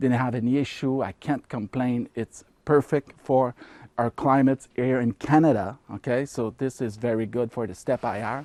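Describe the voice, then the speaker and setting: A man talks at a moderate pace in a dark, mellow tone at medium pitch, with fairly even intonation. The sound is dry and close with no echo, on a very clean recording with a silent background. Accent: Quebec. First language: French. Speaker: ham radio hobbyist youtuber. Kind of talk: casual tutorial. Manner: hesitant, filler-heavy.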